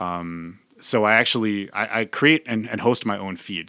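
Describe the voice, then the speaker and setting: The recording is very clean with a silent background, carrying a man's bright, sharp tone. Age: 40s. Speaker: podcaster. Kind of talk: casual chat.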